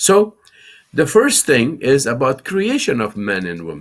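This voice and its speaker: Very slow delivery in an Afghan accent, with ordinary pitch variation. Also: man. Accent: Afghan Dari accent in English. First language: Farsi. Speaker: Islamic scholar and TV show host. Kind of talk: lecture. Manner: halting.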